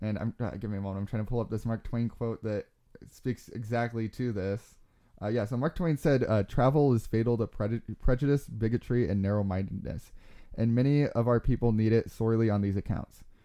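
Talking at a fairly quick pace, a man uses ordinary pitch variation in a medium-pitched voice with a dark, mellow tone. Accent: American. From Arizona (Globe). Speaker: podcast host. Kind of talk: casual chat. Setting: studio.

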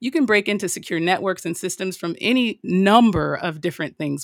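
Here is a woman with an unremarkable speaking voice at a medium pitch. She talks at a moderate pace with ordinary pitch variation on a very clean recording with a silent background. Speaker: cyber risk director. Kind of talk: interview explaining OT security.

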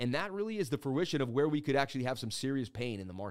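Speaking at a very fast pace in an animated tone, a man is captured in a very clean recording with a silent background. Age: 30s. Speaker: crypto trading streamer. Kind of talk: live stream market analysis.

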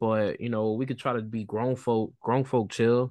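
Fairly quick in pace, a man speaks in an ordinary speaking voice at fairly low pitch. The background is quiet. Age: 30s. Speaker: podcast co-host, stay-at-home husband, military background. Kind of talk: casual chat.

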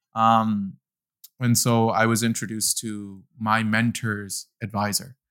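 Very slowly and in a monotone, flat delivery, a man with a Canadian accent speaks at a medium pitch on a very clean recording with a silent background. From Delta, near Vancouver, Canada. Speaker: financial advisor, podcast co-host. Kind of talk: casual interview conversation.

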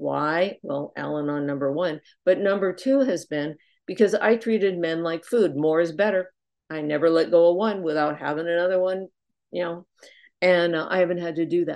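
At a moderate pace, a woman with an unremarkable speaking voice and fairly low pitch shows ordinary pitch variation against a quiet background. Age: 60s. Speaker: twelve-step speaker. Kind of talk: testimony. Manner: casual, with many fillers.

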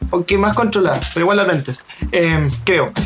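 A man speaks in a Chilean accent. Noticeable background noise is present. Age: 20s. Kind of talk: casual chat.

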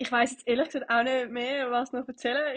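Her intonation fairly even, a woman talks with a high pitch. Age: 20s. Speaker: bartender, podcaster. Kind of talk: solo monologue podcast. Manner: casual, hesitant.

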